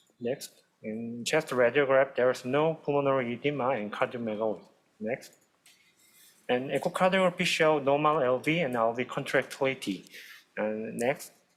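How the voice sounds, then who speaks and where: A man talks at a moderate pace with a Korean accent. His voice is medium in pitch with ordinary pitch variation. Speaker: cardiology fellow. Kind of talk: case presentation.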